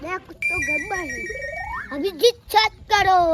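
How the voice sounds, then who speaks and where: This is a put-on character voice at an extremely high pitch. It moves at a fairly slow pace. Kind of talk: comic overacting. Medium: comedy sketch. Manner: blustering, muddled.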